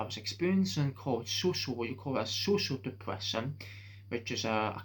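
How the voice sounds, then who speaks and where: A man with a medium pitch speaks at a fairly quick pace. His intonation is lively, and his voice is somewhat breathy. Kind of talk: casual talk to camera. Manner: hesitant, halting.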